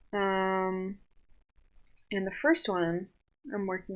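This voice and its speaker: In a very clean recording with a silent background, a woman with an American accent speaks at a medium pitch. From Southern California. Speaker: artist and animator. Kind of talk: casual podcast talk. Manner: hesitant, many fillers.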